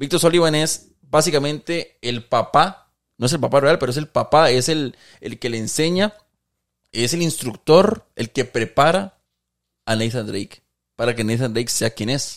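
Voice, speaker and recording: With lively intonation and a fairly slow pace, the delivery is an unremarkable speaking voice. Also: man, fairly high pitch for a man. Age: 30s. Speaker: gaming content creator. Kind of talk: casual chat.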